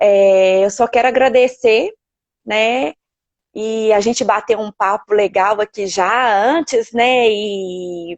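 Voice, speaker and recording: A woman at a very slow pace, with a dry, close sound and no echo. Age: 40s. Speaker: elderly caregiver. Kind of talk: live stream interview. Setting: online live stream.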